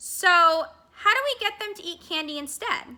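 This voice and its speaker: Using a put-on character voice, a woman talks at a moderate pace at an extremely high pitch. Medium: read story. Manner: animated.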